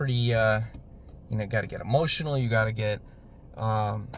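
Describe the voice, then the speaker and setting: A man's somewhat breathy voice holds fairly even intonation. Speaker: YouTuber on digital marketing. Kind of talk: casual solo talk to camera. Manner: monotone; hesitant, many fillers.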